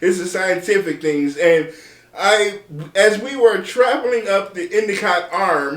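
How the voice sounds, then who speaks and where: A man speaks fairly slowly in a high pitch with ordinary pitch variation. Background noise is noticeable. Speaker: meteorologist. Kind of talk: weather forecast video. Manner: casual, conversational.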